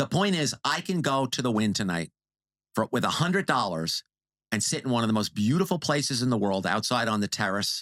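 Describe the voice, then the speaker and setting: Speaking with a New York accent, a man at a medium pitch talks at a fairly quick pace in an animated tone with very wide pitch swings and very even loudness. The sound is dry and close with no echo, and the recording is very clean with a silent background. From New York, Long Island. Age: 60s. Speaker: casino industry video creator. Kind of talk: casual podcast interview.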